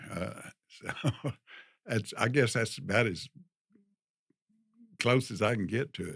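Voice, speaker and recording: With a Texan accent, a man speaks with lively intonation and long, frequent pauses. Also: medium pitch for a man, fairly slow pace. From Texas. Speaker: retiree guest. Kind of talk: interview. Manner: hesitant.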